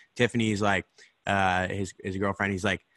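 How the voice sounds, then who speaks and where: In an American accent, a man speaks at a fairly quick pace with a fairly low pitch, fairly even intonation, and a bright, sharp tone in a dry, close sound with no echo. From Idaho. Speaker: podcast host. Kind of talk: casual interview chat.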